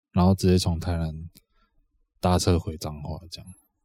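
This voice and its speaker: A man with a very deep, low pitch and a dark, mellow tone speaks with fairly even intonation on a very clean recording with a silent background. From Taiwan, Changhua. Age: late 20s. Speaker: podcast co-host. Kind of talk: casual chat.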